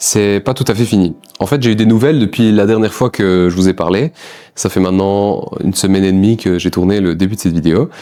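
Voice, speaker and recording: A man with an ordinary speaking voice talks at a fairly low pitch. His loudness stays very even, and his pitch varies in an ordinary way. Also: fairly quick pace. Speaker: vlogger. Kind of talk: casual vlog monologue.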